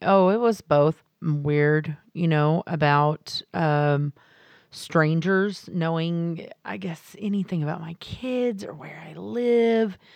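A woman's fairly low voice at a very slow pace, lively in intonation, with big swings in loudness. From Texas, small town. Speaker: comedian. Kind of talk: interview.

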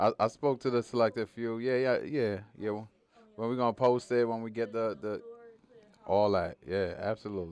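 In a New York accent, a man talks at a moderate pace, the sound dry and close with no echo. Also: fairly even intonation. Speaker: singer. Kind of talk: casual interview.

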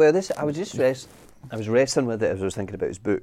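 His pitch shows ordinary variation. The man speaks very fast. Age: 30s. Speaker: church planter. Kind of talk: casual chat.

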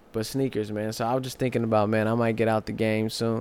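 His intonation stays fairly even. The man's pitch sits in the medium range. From St. Louis, Missouri. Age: 30s. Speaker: podcast co-host. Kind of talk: casual chat. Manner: laughs often.

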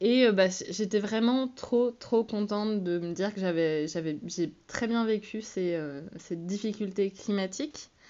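With hardly any pauses, a woman talks very slowly at a medium pitch and with ordinary pitch variation. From Iceland. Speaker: podcast co-host and touring musician. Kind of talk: personal storytelling. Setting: solo home recording.

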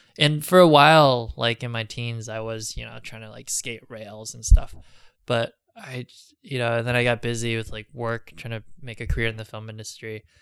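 An ordinary speaking voice at a moderate pace, with fairly even intonation and big swings in loudness. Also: man, medium pitch for a man. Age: 30s. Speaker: documentary filmmaker. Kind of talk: interview.

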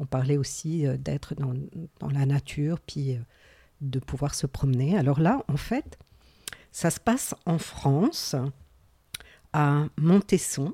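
A woman with a very deep, low pitch and a dark, mellow, somewhat breathy tone speaks at a very slow pace with long, frequent pauses and ordinary pitch variation, in dry, close sound with no echo. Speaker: podcast co-host, mental health community worker. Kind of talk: casual chat.

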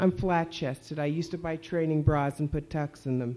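On a very clean recording with a silent background, a woman with an American accent speaks at a moderate pace in a dark, mellow tone with fairly even intonation. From New Jersey. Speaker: children's author. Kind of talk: reading aloud from her own novel. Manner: laughs often, breezy and humorous.

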